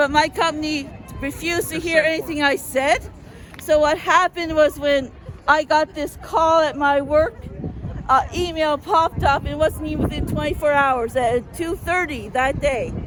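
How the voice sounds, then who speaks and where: A woman talks loudly at a moderate pace, her pitch high with ordinary variation. Crowd noise fills the background. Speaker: rally speaker. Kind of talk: speech at a rally.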